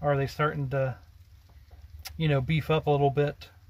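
A man's somewhat breathy voice at a moderate pace, with monotone, flat intonation. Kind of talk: casual vlog chat. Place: car. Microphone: phone near.

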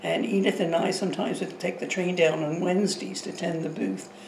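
Light background noise and audible room echo surround a woman with a fairly low pitch, who speaks at a moderate pace with ordinary pitch variation. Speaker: interviewee. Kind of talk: interview answer. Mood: nostalgic, calm. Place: kitchen.

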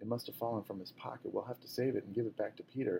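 Ordinary pitch variation marks the delivery. It is an unforced reading voice.

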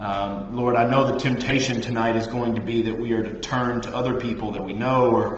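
A man speaks fairly quickly in a monotone, flat intonation, with audible room echo and light background noise. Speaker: Bible study teacher. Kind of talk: sermon. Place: classroom. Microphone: webcam.

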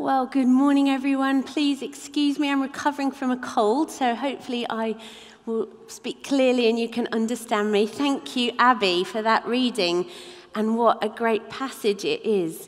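Against a quiet background, a woman talks in a high voice. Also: ordinary pitch variation, moderate pace. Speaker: preacher. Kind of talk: sermon. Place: church.

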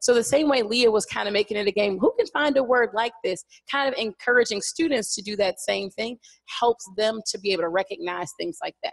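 A woman talks at a fairly quick pace in an unremarkable speaking voice, fairly high in pitch. Her intonation is lively, and the background is quiet. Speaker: elementary school science teacher. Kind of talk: classroom-practice presentation. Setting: stage with audience. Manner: casual, frequent fillers like 'like'. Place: hall.

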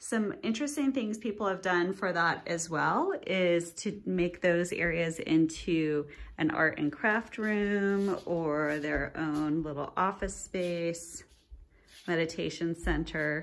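Speaking at a very slow pace, a woman with a fairly low voice uses ordinary pitch variation. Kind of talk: property tour commentary. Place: home room. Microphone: phone near.

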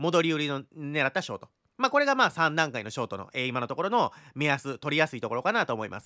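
The voice has a bright, sharp tone and lively intonation, moving at a very fast pace with big swings in loudness. The background is quiet. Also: man, fairly high pitch for a man. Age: 30s. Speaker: crypto chart analyst YouTuber. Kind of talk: market analysis tutorial. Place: home room. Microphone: studio mic.

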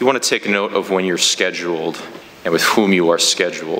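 A man talks in a very deep, low pitch. He moves at a fairly quick pace with monotone, flat intonation. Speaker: parish trainer. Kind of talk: training instruction. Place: church.

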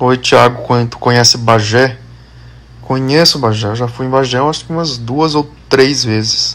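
The delivery runs at a fairly slow pace. Intonation stays fairly even. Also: man, medium pitch for a man. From Maranhão, São Luís (Brazil); Maranhão, Brazil. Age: 30s. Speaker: social media influencer. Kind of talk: casual Q&A video answering followers. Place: home room. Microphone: phone near.

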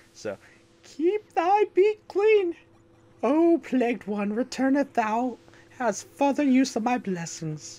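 Someone puts on a character voice, high-pitched with very wide pitch swings, at a fairly slow pace. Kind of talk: archaic, pompous royal speech. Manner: pompous, regal.

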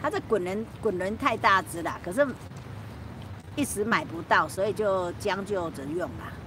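A woman at a fairly slow pace, with lively intonation, big swings in loudness, a dry sound with no echo, and noticeable background noise. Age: old. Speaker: YouTuber livestreaming. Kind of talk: casual livestream chat. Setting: outdoors on a rooftop at night. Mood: relaxed, chatty, late night.

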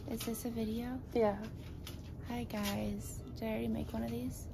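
This woman has a hoarse voice and speaks at a moderate pace. Clear music sounds in the background. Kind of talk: casual vlog chat. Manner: drowsy, hoarse post-op speech. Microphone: phone near.

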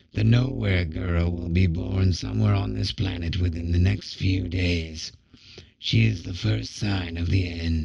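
A man uses a put-on character voice that is raspy and very deep in pitch. He keeps a moderate pace. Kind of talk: oracular pronouncement. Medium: read story. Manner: ominous, muttering, prophetic.

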